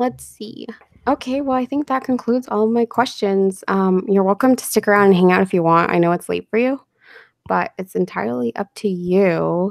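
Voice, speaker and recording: A woman speaks in a plain, everyday voice at a moderate pace with lively intonation, and the sound is dry and close with no echo. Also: medium pitch for a woman. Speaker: story narrator and live-stream host. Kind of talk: live stream interview host.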